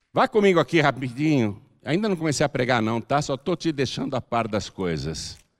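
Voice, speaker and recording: An animated man at a moderate pace, in a very clean recording with a silent background and a dry, close sound with no echo. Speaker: pastor. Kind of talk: sermon.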